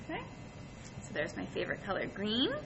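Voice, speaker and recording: Audible room echo surrounds a woman as she talks. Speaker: art teacher. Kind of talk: tutorial. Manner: friendly, addresses children.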